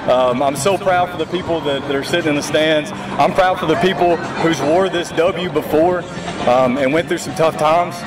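Music plays clearly in the background as a man speaks in a Southern US accent. His pitch is fairly high, his pace moderate and his intonation fairly even. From Tennessee (Waverly); Tennessee. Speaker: high school football coach; head football coach. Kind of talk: post-game interview. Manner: halting, repeated words. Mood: proud, emotional after win. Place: stadium.

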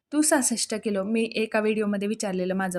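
Recorded very cleanly with a silent background, a woman speaks at a medium pitch. She has an ordinary speaking voice with ordinary pitch variation. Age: 30s. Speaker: YouTube cooking and diet vlogger. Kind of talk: casual vlog reading out viewer comments.

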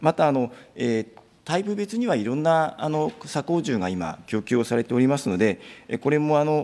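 A man with a dark, mellow tone speaks with very wide pitch swings. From Japan. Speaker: government official. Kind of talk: formal parliamentary answer. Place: hall. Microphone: podium.

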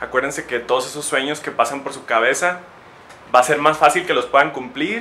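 A man's fairly high voice over light background noise. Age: 20s. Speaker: chemical engineer. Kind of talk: educational talk for young children. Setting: industrial power plant, partly outdoors. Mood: friendly, encouraging.

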